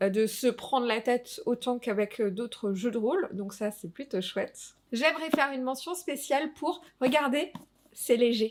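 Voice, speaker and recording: Here a woman talks at a moderate pace. Her pitch is high. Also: lively intonation. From Alsace, France. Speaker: tabletop RPG youtuber. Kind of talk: casual review vlog. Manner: hesitant, many fillers.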